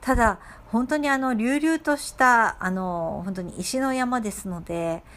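The pace is fairly slow. Intonation rises and falls in a lively way. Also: woman. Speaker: podcast host. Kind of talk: solo podcast monologue. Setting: at home. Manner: hesitant, many fillers.

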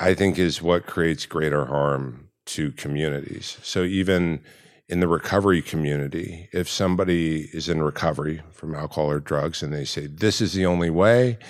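On a very clean recording with a silent background, a man talks at a moderate pace. His pitch is very deep and low, with ordinary pitch variation. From US West Coast, Orange County, California. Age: 40s. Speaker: life coach. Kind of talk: casual chat. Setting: sauna.

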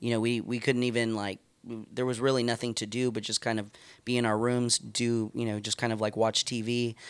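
A man with a Californian accent, fairly quick and monotone with flat intonation, on a very clean recording with a silent background. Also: medium pitch for a man. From California, Stockton. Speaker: youth pastor. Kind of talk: casual interview.

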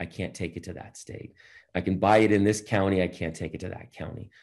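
A man's very deep, low voice at a moderate pace against a quiet background. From Boston. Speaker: entrepreneur and motivational speaker. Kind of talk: interview.

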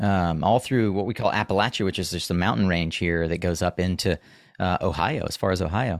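The speaker has an American accent and a fairly quick pace. Pitch variation is ordinary. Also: man, very deep, low pitch for a man. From US Southeast, the Carolinas. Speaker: solar industry podcast host, guest. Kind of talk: interview conversation. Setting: remote video call.

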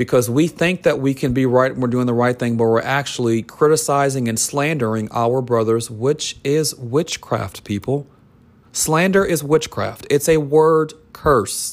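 In a very clean recording with a silent background, a man speaks in an intense tone at a fairly slow pace. His pitch is medium, with ordinary variation. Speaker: podcast host and minister. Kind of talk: sermon. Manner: intense, urgent delivery.

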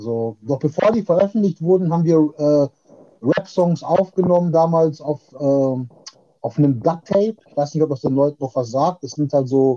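A man speaks in an ordinary speaking voice, fairly high in pitch with ordinary pitch variation. The sound is dry and close with no echo. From Ruhr area, Germany (Witten). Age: 40s. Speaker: rapper. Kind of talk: casual chat. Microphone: distorted, overdriven audio.

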